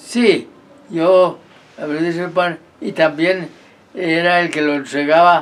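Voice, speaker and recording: A man speaks at a very slow pace with a fairly high pitch. His pitch variation is ordinary. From Colombia, Santander (San Gil). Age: 80s+. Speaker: retired army sergeant. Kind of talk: life-story interview. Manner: halting, repeats words.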